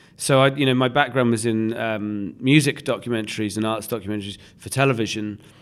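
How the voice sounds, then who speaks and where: At a very fast pace, a man talks with hardly any pauses. His pitch is medium and his intonation fairly even. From England, Leeds then southern England. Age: 40s. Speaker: documentary filmmaker. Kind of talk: interview conversation.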